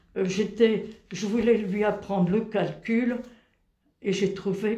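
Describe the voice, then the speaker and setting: A woman speaks at a medium pitch. Her delivery is very slow, with monotone, flat intonation. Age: 90s. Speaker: retired engineer, telling memories of her childhood. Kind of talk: interview, reminiscing.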